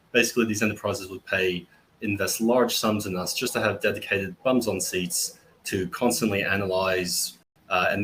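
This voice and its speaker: Fairly low male voice in an Australian accent, bright and sharp in tone, with ordinary pitch variation. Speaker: tech company founder. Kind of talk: webinar panel introduction.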